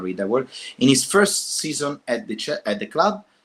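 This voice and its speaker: A man with a non-native accent and very wide pitch swings. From not from an English-speaking country. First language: not English. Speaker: football YouTuber. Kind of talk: casual live commentary reacting to news. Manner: animated.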